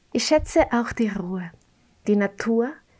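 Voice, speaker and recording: A woman talks at a fairly slow pace in a Spanish accent. Her tone is dark and mellow, with a fairly high pitch. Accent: Spanish-tinged German. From Mexico. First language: Spanish (speaking German). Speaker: podcast host, interviewer. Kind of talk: casual chat.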